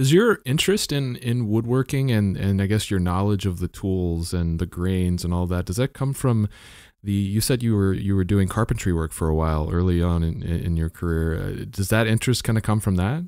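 A man with an American accent speaks in an unremarkable speaking voice at a moderate pace, his fairly low pitch showing ordinary variation, with hardly any pauses on a very clean recording against a silent background. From Texas, Dallas northern suburbs. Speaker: podcast host. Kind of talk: interview.

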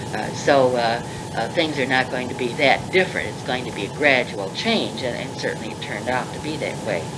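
Over loud background noise, a woman with an American accent and a very deep, low pitch talks at a fairly quick pace with ordinary pitch variation. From Pittsburgh, US. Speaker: former college dean, retired professor. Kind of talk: elder life story, reminiscing in an interview. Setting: interview recorded on tape. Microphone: old recording.

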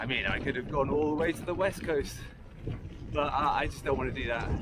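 Over loud background noise, a man talks at a moderate pace, the sound dry with no echo. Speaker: touring cyclist vlogger. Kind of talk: casual vlog chat. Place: bicycle. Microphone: camera far.

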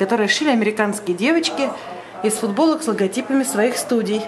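Light background noise is present. The talking keeps a moderate pace. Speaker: studio tour guide. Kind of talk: casual vlog chat. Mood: playful, joking. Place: hall. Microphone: phone near.

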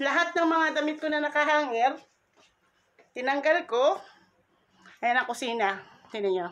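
A woman speaks with lively intonation. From Philippines. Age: 50s. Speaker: vlogger. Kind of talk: casual vlog. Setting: at home. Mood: hopeful, grateful. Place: home room. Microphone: phone near.

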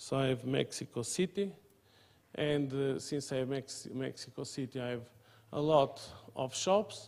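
A man with a Portuguese accent talks at a fairly slow pace with ordinary pitch variation and long, frequent pauses. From Portugal. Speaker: mathematics professor. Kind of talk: lecture. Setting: seminar room with audience. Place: meeting room.

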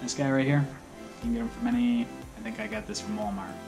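A man speaks over clear music in the background. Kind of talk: tutorial. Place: garage. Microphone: phone near.

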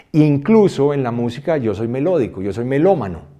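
Over a quiet background, a man's pitch varies in an ordinary way as he talks. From Colombia, raised in New York and Switzerland. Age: 50s. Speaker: music producer and songwriter; interviewee. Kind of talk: interview. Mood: reflective, animated. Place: studio.

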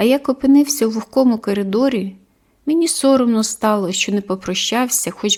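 Natural voice for reading, pitch varying in an ordinary way

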